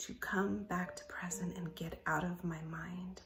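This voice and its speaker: A woman whispering at a moderate pace, with music in the background. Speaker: spiritual coach, channel host. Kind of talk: late-night personal vlog talk.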